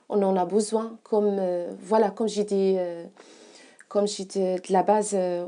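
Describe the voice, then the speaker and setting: A woman speaks at medium pitch in a dark, mellow tone. Her intonation is monotone and flat, over a quiet background. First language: not French (speaking French). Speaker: massage therapist. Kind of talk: interview. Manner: halting, many hesitations.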